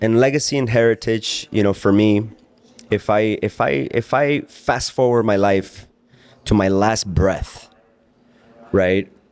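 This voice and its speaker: Fairly low-pitched male voice with ordinary pitch variation. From Mexico, raised in Oregon, US from age 5. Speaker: entrepreneur. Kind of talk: personal monologue. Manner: halting, many repetitions and fillers.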